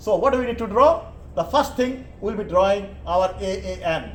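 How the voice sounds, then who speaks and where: Through noticeable background noise and audible room echo, a man with a high pitch talks at a fairly quick pace with lively intonation. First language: Bengali. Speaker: engineering lecturer. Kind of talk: lecture. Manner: halting.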